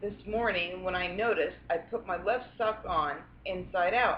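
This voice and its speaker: A woman with an ordinary speaking voice, ordinary pitch variation, and a moderate pace. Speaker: grandmother. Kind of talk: read story.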